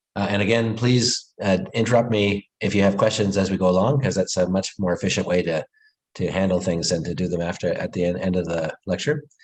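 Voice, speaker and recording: Moving at a fairly quick pace, a man talks in a fairly low pitch with ordinary pitch variation. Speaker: physics professor. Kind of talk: lecture. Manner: fast.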